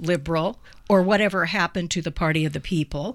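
A woman with an ordinary speaking voice talks at a fairly quick pace in a fairly low pitch. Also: very clean recording, silent background. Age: 60s. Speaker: radio host. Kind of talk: radio interview.

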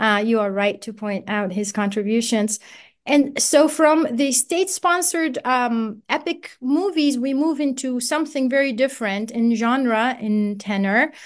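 A woman with an Arabic accent speaks at a fairly slow pace in a high pitch, her intonation lively against a quiet background. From Iraq. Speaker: professor. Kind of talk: radio interview. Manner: frequent hesitations with uh and um.

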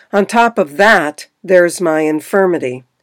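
On a very clean recording with a silent background and a dry, close sound with no echo, a woman uses an ordinary speaking voice, fairly low in pitch and at a fairly slow pace. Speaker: radio reader of book review. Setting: radio variety show. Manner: measured, even, clear, formal read-aloud pace.

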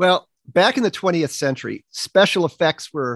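At a moderate pace and with ordinary pitch variation, a man speaks in a plain, everyday voice. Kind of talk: radio interview. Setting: studio.

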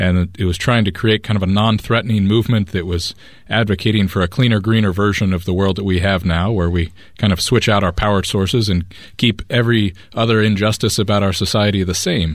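A man with a plain, everyday voice talks at a fairly quick pace and fairly low pitch, keeping his intonation fairly even and his loudness very even. The recording is very clean, with a silent background. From United States. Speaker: climate activist. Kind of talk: interview.

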